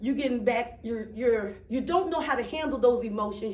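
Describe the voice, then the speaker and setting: Over noticeable background noise and audible room echo, a woman speaks at a moderate pace with a fairly high pitch. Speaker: speaker with a doctorate, author. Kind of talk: public speech. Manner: halting, self-interrupting; conversational with audience responses.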